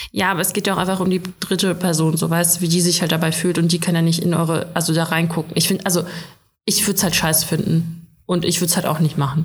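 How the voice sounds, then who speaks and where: Racing at a very fast pace, a woman with a fairly low, somewhat breathy voice keeps very even loudness and monotone, flat intonation. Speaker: podcast co-host. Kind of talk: casual chat.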